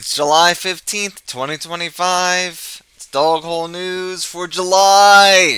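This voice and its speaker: On a very clean recording with a silent background, a man with a high pitch and a bright, sharp tone speaks at a very slow pace. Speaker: live streamer, news show host. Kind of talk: casual live stream commentary; reading news article aloud. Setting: live stream. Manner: loud.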